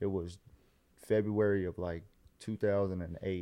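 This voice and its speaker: A man speaks in a dark, mellow tone. His intonation is monotone and flat. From US South (Carolinas). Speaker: police officer and social media creator. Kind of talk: casual chat.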